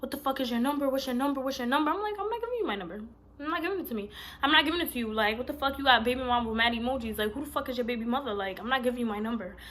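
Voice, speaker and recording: A woman talks loudly at a very fast pace, with a high pitch and an animated tone. Her intonation is lively, and there is noticeable background noise. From Puerto Rican heritage, US Northeast. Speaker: vlogger. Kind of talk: storytime vlog.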